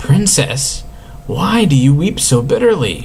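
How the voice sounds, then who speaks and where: Putting on a character voice, a man speaks fairly slowly at a fairly high pitch, with clear background noise behind him. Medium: read story.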